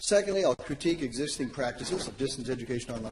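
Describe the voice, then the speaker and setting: A man talks at a very fast pace. His pitch is fairly high, with ordinary pitch variation. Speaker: academic presenter. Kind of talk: conference presentation.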